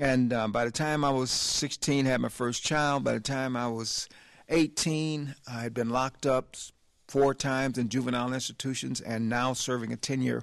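Against a quiet background, a man with an American accent uses an ordinary speaking voice at medium pitch, keeping a moderate pace and fairly even intonation. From US South, Selma, Alabama. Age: 60s. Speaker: ministry leader, former gang leader. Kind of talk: testimony.

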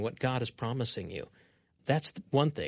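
A man's normal speaking voice of medium pitch at a fairly quick pace, in a very clean recording with a silent background. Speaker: radio show producer. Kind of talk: casual chat about bible passages. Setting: studio.

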